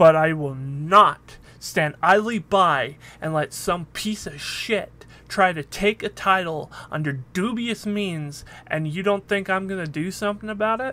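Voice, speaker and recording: A man's raised, projected voice, high in pitch, bright and sharp in tone, at a fairly slow pace with ordinary pitch variation. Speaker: wrestling commentator. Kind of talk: wrestling promo, direct address to fans. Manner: earnest, defiant, emphatic; confident, conversational, some hesitations.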